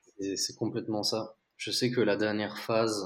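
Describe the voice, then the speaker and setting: A man speaks at a fairly low pitch. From Belgium. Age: 20s. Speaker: entrepreneur. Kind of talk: interview.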